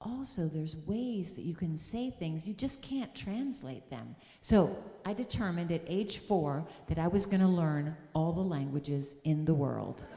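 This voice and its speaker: With an upstate New York accent, a woman speaks in a fairly low voice with very wide pitch swings, and the room echo is audible. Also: moderate pace. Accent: American (upstate New York). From US Northeast, upstate New York (Syracuse area). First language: German. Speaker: music teacher and speaker at a church service. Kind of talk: sermon.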